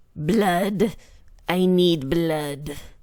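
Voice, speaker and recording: A put-on character voice delivered at a middle pitch. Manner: crazed, unhinged.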